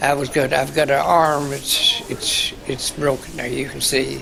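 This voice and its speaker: A man with an American accent at a very slow pace, with audible room echo and noticeable background noise. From Kentucky (Garrard County). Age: 80s+. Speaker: war veteran. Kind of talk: oral history interview. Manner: halting.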